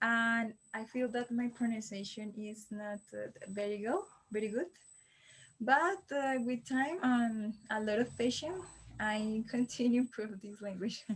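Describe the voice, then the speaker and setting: A woman with a Colombian accent talks at a fairly slow pace, her fairly high voice carrying lively intonation. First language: Spanish. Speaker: language learner. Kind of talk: mock exam interview. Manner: halting.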